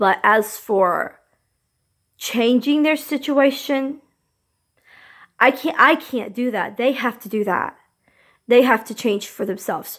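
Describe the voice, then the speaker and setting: A woman's high-pitched voice at a very slow pace, broken by long, frequent pauses. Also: ordinary pitch variation. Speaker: vlogger. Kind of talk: casual vlog talk. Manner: hesitant, with fillers.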